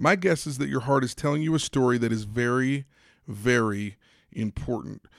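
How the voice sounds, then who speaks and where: A man's medium-pitched voice at a fairly slow pace, in a dry, close sound with no echo. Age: 40s. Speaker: podcast host and sports psychology consultant. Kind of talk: motivational monologue.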